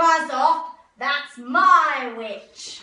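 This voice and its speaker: In a put-on character voice, the speaker growls in a high, shrill, croaky tone with a slight echo. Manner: threatening.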